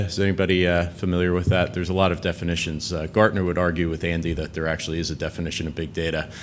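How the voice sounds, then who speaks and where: A man with an American accent talks amid audible room echo. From United States. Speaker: tech company executive. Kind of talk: conference talk. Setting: conference stage with audience. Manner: casual with many fillers.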